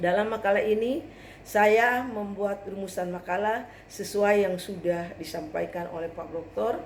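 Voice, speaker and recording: Audible room echo surrounds a woman's voice. She speaks at a fairly slow pace with ordinary pitch variation. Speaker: graduate student presenting a paper. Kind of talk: academic presentation. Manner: formal.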